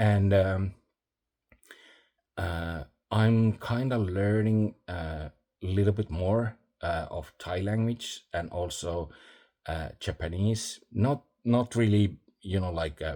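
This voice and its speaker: A man with a non-native accent speaks very slowly at a fairly low pitch, in a dark, mellow tone with ordinary pitch variation. Long, frequent pauses break up his speech in a very clean recording with a silent background. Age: old. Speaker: vlogger. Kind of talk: casual vlog monologue. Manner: halting, many fillers.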